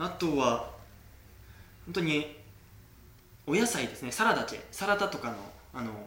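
With a fairly high pitch, a man speaks at a moderate pace, his pitch swinging very widely and his loudness varying greatly, with long, frequent pauses amid noticeable background noise and audible room echo. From Kagoshima, Japan. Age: 20s. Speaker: sommelier. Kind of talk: interview. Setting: host's home in Berlin.

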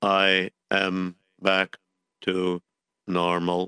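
A man's put-on character voice, very deep and low, with monotone, flat intonation. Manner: loud, repetitive, shouting.

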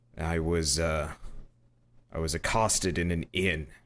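A man uses a gruff, put-on character voice with a very deep, low pitch. He keeps a moderate pace in a very clean recording with a silent background. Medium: actual play. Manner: gruff, exasperated.

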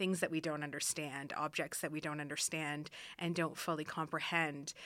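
With an Ontario accent, a woman speaks at a fairly low pitch in a bright, sharp tone on a very clean recording with a silent background. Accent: Canadian English (Ontario). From Canada, Ottawa area. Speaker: art museum curator. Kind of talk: interview.

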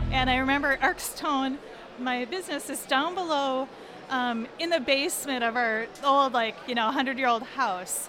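In an American accent, a woman with a high pitch and ordinary pitch variation projects her raised voice at a moderate pace, with audible room echo and noticeable background noise. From Minnesota (Minneapolis). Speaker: design and marketing company founder. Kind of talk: personal storytelling. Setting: story booth at a conference. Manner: halting, with fillers.

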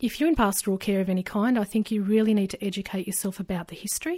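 In a very clean recording with a silent background, a woman with an Australian accent speaks at a fairly quick pace, her medium-pitched, somewhat breathy voice dark and mellow, her intonation fairly even. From rural New South Wales, Australia. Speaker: adoptee sharing her story. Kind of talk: interview.

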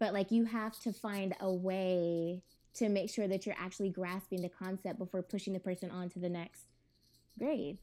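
A woman with an American accent speaks at a moderate pace, her pitch medium and her tone dark and mellow. Her intonation stays fairly even, and the recording is very clean with a silent background. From California. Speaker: podcast guest. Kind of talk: casual chat.

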